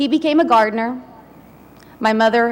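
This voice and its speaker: A woman speaks at a moderate pace in a high pitch, with ordinary pitch variation. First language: not English. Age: 40s. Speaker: commencement speaker. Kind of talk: commencement speech.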